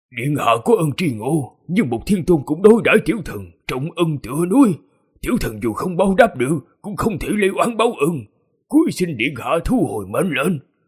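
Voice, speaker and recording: Using a put-on character voice, a man talks at a fairly quick pace in a shaky, high voice. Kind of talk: archaic, formal. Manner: trembling, fearful, respectful.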